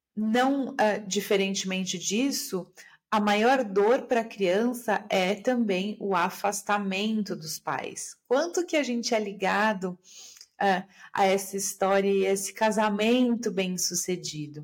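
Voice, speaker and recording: A calm tone at a very slow pace, with ordinary pitch variation. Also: woman, medium pitch for a woman. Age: 40s. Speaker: systemic therapist and podcaster. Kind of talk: solo podcast monologue.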